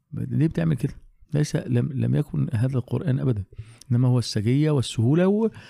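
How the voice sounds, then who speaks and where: With a medium pitch, a man speaks in a dark, mellow, somewhat breathy tone at a moderate pace, keeping his loudness very even while his intonation stays lively. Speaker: Quran teacher. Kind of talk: casual chat.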